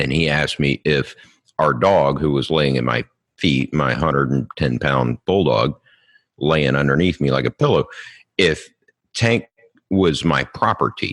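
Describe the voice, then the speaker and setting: A man with a very deep, low pitch and vocal fry, fairly slow pace, ordinary pitch variation, and a dry, close sound with no echo. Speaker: homeschooling father and podcast guest. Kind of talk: casual interview chat. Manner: halting with fillers.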